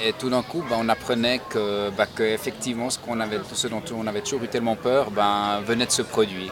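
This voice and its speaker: A man speaks at a moderate pace and a medium pitch, with fairly even intonation. Noticeable background noise sits behind him. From Switzerland, Nyon (Vaud). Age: 40s. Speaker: university staff member. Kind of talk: interview. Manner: hesitant, with fillers and repetitions.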